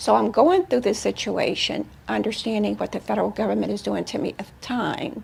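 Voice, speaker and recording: Here a woman talks at a fairly quick pace. She leaves hardly any pauses. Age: 60s. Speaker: tax fraud defendant telling her case. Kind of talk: interview testimony.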